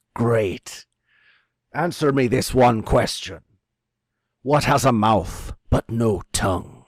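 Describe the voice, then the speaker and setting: A man performs a put-on character voice at a medium pitch, speaking very slowly with long, frequent pauses. The recording is very clean, with a silent background. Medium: actual play. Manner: curt, commanding.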